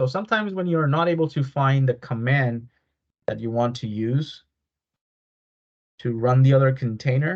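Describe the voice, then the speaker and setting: A man speaks at a moderate pace and a medium pitch. His voice is somewhat breathy, with ordinary pitch variation. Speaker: cybersecurity instructor. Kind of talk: live online workshop tutorial.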